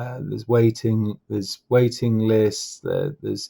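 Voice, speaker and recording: On a very clean recording with a silent background, a man with an English accent talks in a fairly low, dark and mellow voice. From England. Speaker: political commentator. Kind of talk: casual commentary monologue. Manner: hesitant with many fillers and repetitions.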